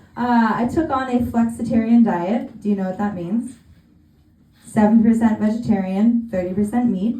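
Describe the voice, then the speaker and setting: A woman with an American accent speaks at a moderate pace and a fairly high pitch, with fairly even intonation. Audible room echo and noticeable background noise surround her voice. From California. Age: 30s. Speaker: stand-up comedian. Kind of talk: stand-up. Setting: stage with audience.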